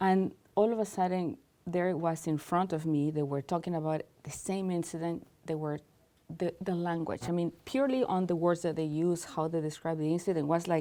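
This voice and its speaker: A woman with a non-native accent talks at a fairly quick pace in a fairly low pitch with a dark, mellow tone. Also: ordinary pitch variation. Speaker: cultural integration specialist. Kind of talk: interview.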